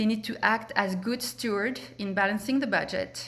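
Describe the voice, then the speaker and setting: Speaking at a fairly quick pace, a woman with a French accent has a medium pitch. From France. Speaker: political candidate. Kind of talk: candidate forum speech. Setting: public forum. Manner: hesitant, many fillers.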